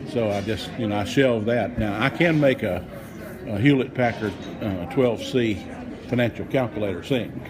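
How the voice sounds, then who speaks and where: A man with a medium pitch and ordinary pitch variation talks amid audible room echo and noticeable background noise. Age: 60s. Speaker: son visiting mother. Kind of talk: casual chat.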